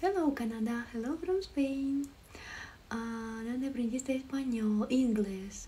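Speaking at a very slow pace with a Ukrainian accent, a woman uses a high pitch and ordinary pitch variation. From Ukraine. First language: Ukrainian (speaking Spanish). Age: 20s. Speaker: livestreamer. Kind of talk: live stream chat with viewers. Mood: friendly, relaxed. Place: home room. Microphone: phone near.

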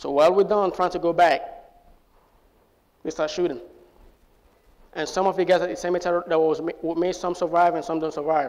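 Monotone, flat intonation broken by long, frequent pauses. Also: man, high pitch for a man, fairly quick pace. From Sierra Leone. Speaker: US Air Force airman. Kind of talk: personal storytelling to live audience. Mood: somber, recounting wartime trauma. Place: stage. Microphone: lapel.

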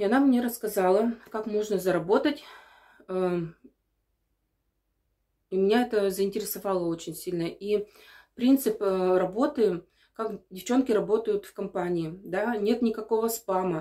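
A woman speaks fairly slowly in a medium-pitched voice with a dark, mellow tone and ordinary pitch variation. Her loudness swings widely, with long, frequent pauses and a quiet background. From Sverdlovsk Oblast, Russia. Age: 30s. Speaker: perfume sales partner. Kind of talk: casual talk to camera. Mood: calm, mildly enthusiastic. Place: bathroom. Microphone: phone near.

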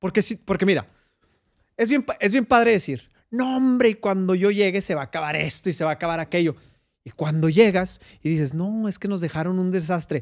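A man with a Mexican accent speaks at a high pitch with lively intonation. The background is quiet. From Mexico. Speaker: podcast host. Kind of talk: interview. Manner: halting. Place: studio. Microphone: studio mic.

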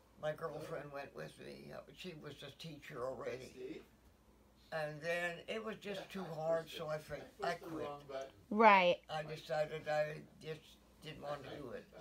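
Very deep, low-pitched woman's voice at a fairly slow pace, with ordinary pitch variation, big swings in loudness, long, frequent pauses, and noticeable background noise. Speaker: interviewee. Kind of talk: interview answer. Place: home room. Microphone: phone near.

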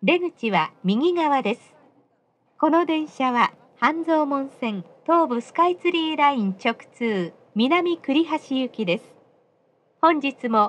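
A woman speaks at a fairly slow pace, her high pitch carried by lively intonation.

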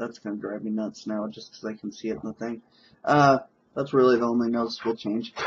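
Very fast speech with fairly even intonation over light background noise. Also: man. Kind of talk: casual talk to camera. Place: home room. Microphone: webcam.

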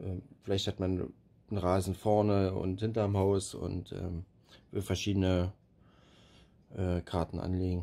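A man speaks fairly slowly in a very deep, low voice with a dark, mellow tone. His intonation stays fairly even. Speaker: robot lawn mower project developer. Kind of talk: tutorial walkthrough. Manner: monotone, hesitant with filler sounds.

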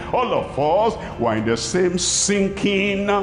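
Faint music plays in the background as a man speaks at a very slow pace amid audible room echo. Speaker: preacher. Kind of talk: sermon. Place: stadium. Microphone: headset.

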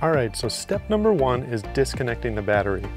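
Over clear music in the background, a man speaks very fast, the sound dry with no echo. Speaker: van builder host. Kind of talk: tutorial. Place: garage. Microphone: lapel.

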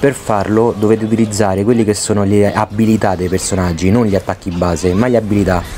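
A man talks at a very fast pace with a fairly low pitch. Noticeable background noise sits behind him. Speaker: gaming youtuber. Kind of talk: gameplay commentary tutorial. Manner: stammering.

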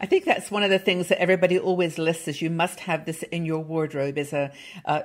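A woman's low voice holds a fairly even intonation. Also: fairly quick pace.

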